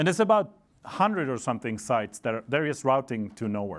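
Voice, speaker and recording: This is a man with a Swedish accent. The recording is very clean, with a silent background. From Sweden. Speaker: network engineer presenter. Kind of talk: conference talk. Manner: casual with frequent fillers.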